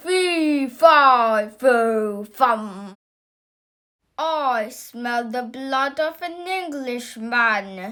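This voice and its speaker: Shouting in a put-on character voice, a woman uses a high pitch at a very slow pace. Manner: booming, shouting.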